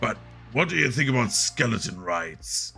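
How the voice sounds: A put-on character voice from a man, raspy and fairly low, at a moderate pace over clear music in the background.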